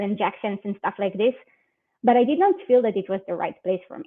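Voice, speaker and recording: Her medium pitch shows ordinary variation as a woman speaks with an Israeli accent. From Israel, near Tel Aviv. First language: Hebrew. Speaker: security research manager. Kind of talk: conference talk.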